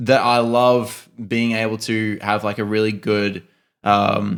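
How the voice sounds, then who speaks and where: In an Australian accent, a man is talking. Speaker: podcast co-host, photographer. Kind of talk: casual chat.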